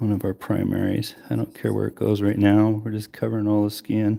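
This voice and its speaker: A man mumbles his words at a moderate pace. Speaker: miniature painter streamer. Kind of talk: live painting tutorial. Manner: mumbling; hums while working.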